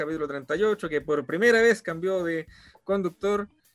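A high-pitched man's voice with a Chilean accent and ordinary pitch variation. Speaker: podcast host. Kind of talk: casual chat.

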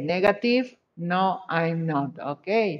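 A woman at a very slow pace, in a Spanish accent, with very wide pitch swings. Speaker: English teacher. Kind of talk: online class.

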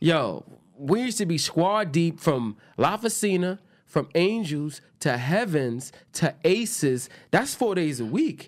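A man with a New York accent talks at a fairly slow pace, his high pitch swinging very widely. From New York, Queens. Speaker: podcast host. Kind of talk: casual chat.

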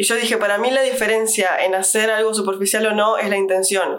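Over noticeable background noise and audible room echo, a woman with a Rioplatense accent and a fairly high pitch talks at a fairly quick pace in a monotone, flat intonation. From Uruguay. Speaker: podcast host. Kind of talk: casual chat.

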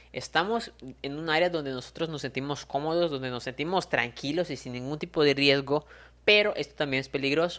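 Very clean recording with a silent background and speech at a fairly quick pace. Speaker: motivational podcaster. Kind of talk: motivational monologue.

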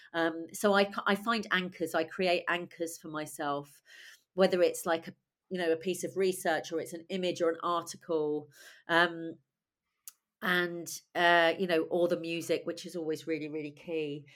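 On a very clean recording with a silent background, a woman with a British accent speaks at a moderate pace, fairly low in pitch and with monotone, flat intonation. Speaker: playwright and director. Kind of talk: interview conversation.

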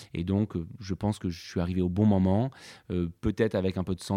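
Very deep, low male voice with a dark, mellow tone, flat monotone intonation and a moderate pace, dry and close with no echo. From Normandy, France. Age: 40s. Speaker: winery technical director. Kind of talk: interview. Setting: on location at a wine estate. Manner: halting, many repetitions and fillers.

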